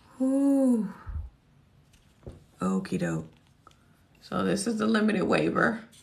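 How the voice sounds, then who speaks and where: A woman speaking very slowly, with long, frequent pauses and audible room echo. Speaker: student loan educator. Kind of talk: live Q&A tutorial. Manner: casual, conversational.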